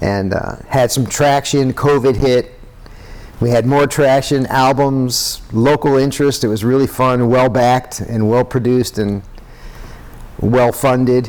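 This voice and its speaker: A man uses a normal speaking voice at medium pitch with fairly even intonation. He keeps his loudness very even and his pace fairly slow. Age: 60s. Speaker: musician. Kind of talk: casual chat.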